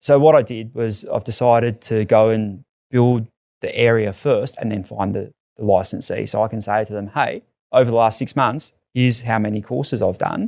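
A man with an Australian accent and a medium pitch speaks at a moderate pace with fairly even intonation. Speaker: intensive care paramedic and first-aid business founder. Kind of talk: casual interview chat.

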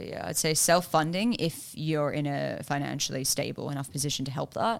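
This woman has a very deep, low voice with vocal fry, speaking at a fairly quick pace with ordinary pitch variation and hardly any pauses. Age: 20s. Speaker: film producer, writer and director. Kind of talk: casual chat.

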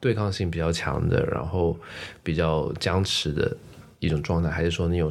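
A man with a very deep, low voice and vocal fry speaks with ordinary pitch variation. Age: 20s. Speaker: podcast host. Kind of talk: casual chat.

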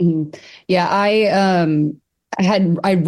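Pitched fairly low, the female speaker has an ordinary speaking voice with ordinary pitch variation. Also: quiet background. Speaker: book editor hosting author interview. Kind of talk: moderated author conversation.

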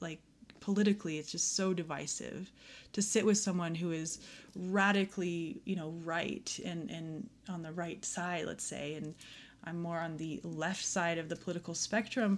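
A woman with an American accent and an ordinary speaking voice, fairly low in pitch, at a moderate pace with fairly even intonation, over a quiet background. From Aspen, Colorado. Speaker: yoga teacher. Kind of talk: casual chat.

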